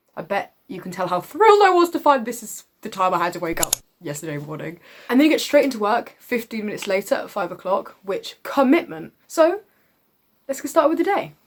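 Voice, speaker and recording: An animated woman's voice with a British accent, fairly high in pitch, with very wide pitch swings, big swings in loudness, and a fairly quick pace. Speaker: vlogger, acting student. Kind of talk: casual vlog.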